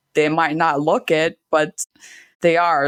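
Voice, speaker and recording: On a very clean recording with a silent background and a dry, close sound with no echo, a woman talks at a moderate pace with a very deep, low pitch. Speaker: podcast host. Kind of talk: casual chat. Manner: monotone.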